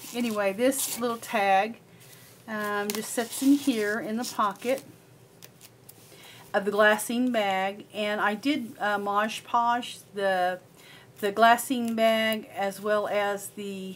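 Over light background noise, a woman speaks at a very slow pace, leaving long, frequent pauses. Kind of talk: casual show-and-tell narration. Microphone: camera far.

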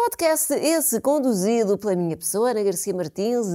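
Against a quiet background, a woman with a fairly high pitch talks at a fairly slow pace, her pitch swinging very widely. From Portugal. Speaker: podcast co-host. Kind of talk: casual chat. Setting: studio. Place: studio.

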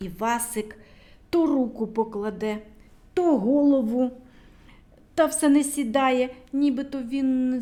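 A woman speaks at a fairly slow pace, her pitch fairly high with ordinary variation. Her tone is dark and mellow.

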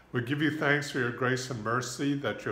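Audible room echo surrounds a man whose intonation stays fairly even. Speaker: pastor leading prayer. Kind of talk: prayer. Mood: calm, reverent. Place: home room. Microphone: phone near.

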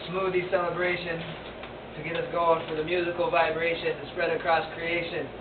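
A man's high voice at a fairly quick pace, monotone and flat, with noticeable background noise. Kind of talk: casual vlog chat. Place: kitchen. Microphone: phone near.

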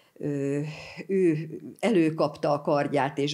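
Against a quiet background, a woman talks at a very slow pace with a very deep, low pitch. Her tone is dark and mellow, and her intonation fairly even. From Hungary. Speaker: president of a spiritual society; guest. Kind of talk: interview. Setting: studio. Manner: halting, many fillers. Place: studio. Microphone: studio mic.

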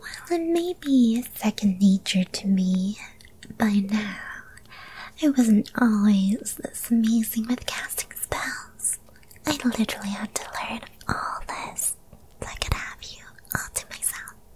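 A woman whispers in a put-on character voice. Her pace is fairly slow. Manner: whispered.

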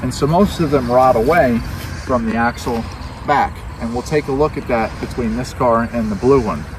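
A man speaks at a moderate pace, the sound dry with no echo and noticeable background noise behind him. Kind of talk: tutorial. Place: open country.

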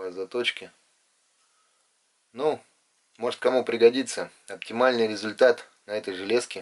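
A man talks at a moderate pace. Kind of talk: casual show-and-tell commentary. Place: home room. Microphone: camera far.

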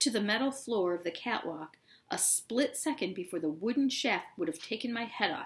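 Unforced reading voice, its intonation lively

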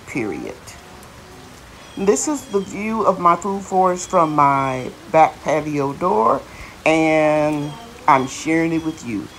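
With music in the background, a woman with a very deep, low pitch speaks very slowly and with lively intonation. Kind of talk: casual vlog chat. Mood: cheerful. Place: garden. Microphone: phone near.

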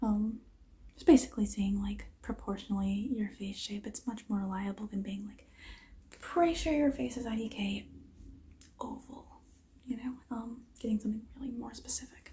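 Talking at a moderate pace with ordinary pitch variation, a woman leaves long, frequent pauses, and her loudness swings widely. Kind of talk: role-play chat to camera. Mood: gentle, friendly. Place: home room. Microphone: phone near.

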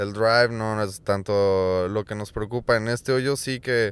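This is an unremarkable speaking voice with fairly even intonation. The recording is very clean, with a silent background. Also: man. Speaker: disc golf commentator. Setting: voiceover recorded over replay video. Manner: fluent, explanatory, describing shots and course details.

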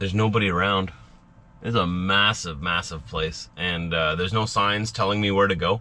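This man has a fairly low pitch and a bright, sharp tone. His pitch variation is ordinary. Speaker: truck driver vlogger. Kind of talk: casual vlog chat. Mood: mildly frustrated, storytelling. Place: car. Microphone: phone near.

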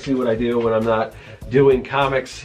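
Faint music sits in the background. A man speaks at a fairly quick pace. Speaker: comic artist. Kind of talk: casual vlog chat. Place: home room. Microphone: phone near.

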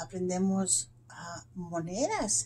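There is light background noise as a woman talks. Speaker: teacher. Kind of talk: lesson for young children. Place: classroom. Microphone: phone near.

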